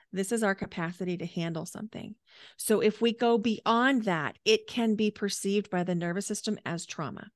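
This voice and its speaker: Against a quiet background, a woman speaks at a fairly quick pace in a medium pitch with ordinary pitch variation, the sound dry and close with no echo. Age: 40s. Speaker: coach and energy healer. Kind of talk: interview and guided breathing exercise.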